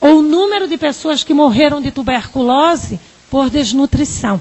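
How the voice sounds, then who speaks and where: Here a woman speaks with a Paraíba accent. Her voice is high in pitch. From Northeast Brazil, Paraíba. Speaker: psychologist and researcher. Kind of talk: lecture.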